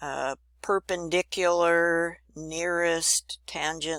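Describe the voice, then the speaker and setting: A woman speaks in an upbeat tone at a fairly low pitch. The recording is very clean, with a silent background and a dry, close sound with no echo. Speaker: drafting instructor. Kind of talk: tutorial. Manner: casual, upbeat.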